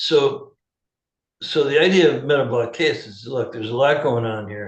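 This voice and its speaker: A man speaks at a moderate pace and medium pitch, somewhat breathy, with ordinary pitch variation. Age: 70s. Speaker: holistic health practitioner. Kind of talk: interview. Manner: animated.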